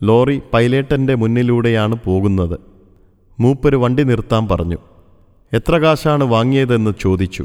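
A man talks at a medium pitch with ordinary pitch variation and very even loudness. It is a plain, everyday voice. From Kerala, Thrissur. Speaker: retired store manager recalling former employer. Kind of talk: scripted narration of a memoir.

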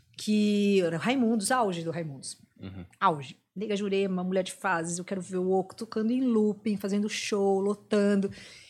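On a very clean recording with a silent background, a normal speaking voice keeps a moderate pace with ordinary pitch variation and hardly any pauses. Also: woman, medium pitch for a woman. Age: 40s. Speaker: rock radio host and music journalist. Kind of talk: casual chat.

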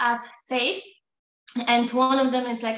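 Speech at a moderate pace with a Polish accent. The tone is bright and sharp. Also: woman. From Poland. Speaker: psychotherapist. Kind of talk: casual interview.

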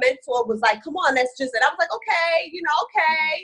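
A woman projects a raised voice with a bright, sharp tone and lively intonation. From West Indies, raised in New York City. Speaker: real estate investor. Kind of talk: interview. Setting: video call.

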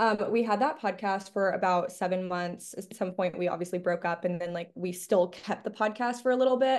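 A woman with a normal speaking voice and an American accent talks at a fairly quick pace, with hardly any pauses. Her pitch is medium with ordinary variation, over a quiet background. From Miami, Florida. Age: 20s. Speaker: college student and podcaster. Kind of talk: casual chat.

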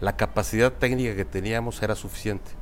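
Speaking at a fairly quick pace, a man with a fairly low pitch shows vocal fry. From central Mexico (Guanajuato, Querétaro). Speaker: construction company CEO. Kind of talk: interview.

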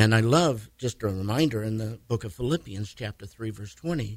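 Lively intonation runs through this man's speech. His voice is somewhat breathy. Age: 70s. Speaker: pastor. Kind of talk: casual radio interview.

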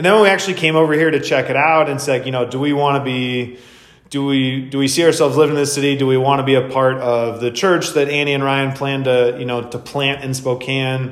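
With an American accent, a man talks at a very fast pace in a fairly high pitch and fairly even intonation, with audible room echo. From Wisconsin, US Midwest. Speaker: podcast host and fitness coach. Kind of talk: casual chat.

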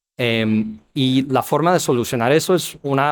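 A man's voice at medium pitch. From US Midwest (Ohio). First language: English (speaking Spanish). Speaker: startup founder and CEO. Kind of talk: interview. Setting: business expo. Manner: halting, many fillers and repetitions.

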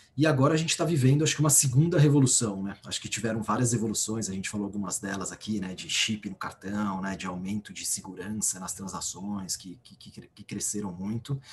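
A man speaks at a fairly quick pace with lively intonation and fairly low pitch, barely pausing. His loudness swings widely, and background noise is noticeable. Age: 30s. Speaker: bank executive. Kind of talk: interview.

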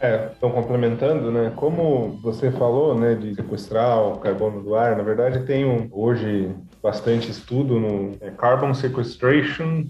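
A man speaks fairly slowly with fairly even intonation, amid noticeable background noise and audible room echo. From Rio Grande do Sul, Brazil. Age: 30s. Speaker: physics researcher. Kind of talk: podcast interview.

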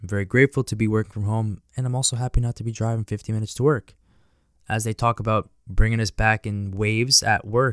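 Speaking at a very fast pace, a man with a fairly low pitch keeps his intonation fairly even, in a dry, close sound with no echo on a very clean recording with a silent background. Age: 20s. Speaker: finance podcaster. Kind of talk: solo podcast monologue.

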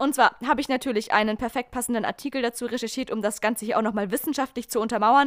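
A woman speaks with ordinary pitch variation. The recording is very clean and silent in the background, with dry, close sound and no echo. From southern Germany, small town. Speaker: podcast host. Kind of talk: casual chat.

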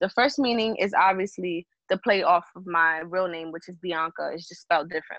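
A woman with a New York accent talks at a fairly quick pace and medium pitch, with ordinary pitch variation and big swings in loudness. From Bronx, New York. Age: 20s. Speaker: singer songwriter. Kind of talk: casual interview.

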